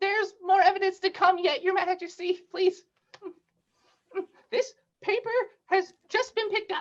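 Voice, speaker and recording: A put-on character voice, squeaky and extremely high-pitched, sounds nervous as it goes at a moderate pace with long, frequent pauses. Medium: audio drama. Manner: nervous, deferential.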